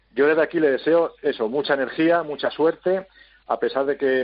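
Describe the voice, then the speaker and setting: This man has an unremarkable speaking voice with ordinary pitch variation. He talks at a moderate pace. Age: 50s. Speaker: sports journalist. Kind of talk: opinion column read on air.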